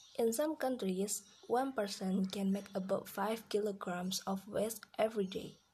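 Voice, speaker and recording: The speaker has an Indonesian accent. The pace is fairly slow. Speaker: language learner vlogger. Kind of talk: reading aloud. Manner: halting.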